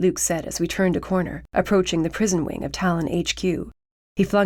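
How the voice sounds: A natural reading voice, with fairly even intonation, is heard against a quiet background.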